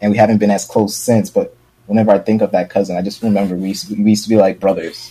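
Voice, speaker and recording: A man talks very fast in a fairly low pitch. His tone is dark and mellow, with monotone, flat intonation. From New York, Brooklyn. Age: 20s. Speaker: streamer. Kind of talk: casual chat.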